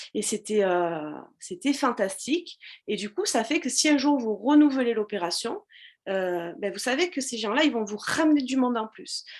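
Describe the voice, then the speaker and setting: A woman talks at a moderate pace with a fairly high pitch and very wide pitch swings. The background is quiet. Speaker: social media business coach. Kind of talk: live stream tutorial. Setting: live video stream with chat. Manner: hesitant with many fillers.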